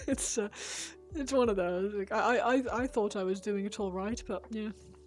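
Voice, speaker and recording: Music plays behind a woman speaking at a moderate pace in a medium pitch with ordinary pitch variation. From UK. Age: 30s. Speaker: miniature painting streamer. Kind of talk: casual live-stream chat. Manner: halting, many fillers and restarts.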